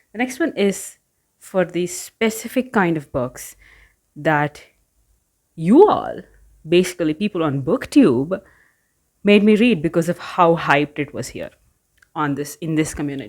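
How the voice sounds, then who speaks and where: The speaker is soft-spoken and goes at a fairly slow pace with long, frequent pauses and very wide pitch swings, on a very clean recording with a silent background. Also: woman, fairly low pitch for a woman. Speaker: book YouTuber. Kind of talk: casual vlog chat. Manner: hesitant, filler-heavy.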